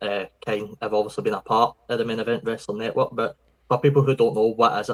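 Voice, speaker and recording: Speaking at a very fast pace, a man talks in a strong Scottish accent. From Scotland. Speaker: podcast host. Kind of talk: podcast interview. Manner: casual, conversational.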